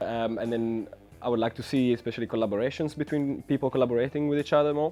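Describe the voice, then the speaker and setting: Music plays in the background as a man talks at a very fast pace. His medium-pitched voice has fairly even intonation. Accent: Italian. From Italy. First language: Italian. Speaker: music industry interviewee. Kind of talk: interview. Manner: hesitant, many fillers.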